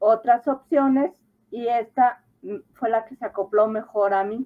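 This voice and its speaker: A woman talks with a plain, everyday voice, pitched fairly high. Her pace is fairly slow and her pitch variation ordinary. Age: 60s. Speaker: adult high school graduate. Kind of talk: interview.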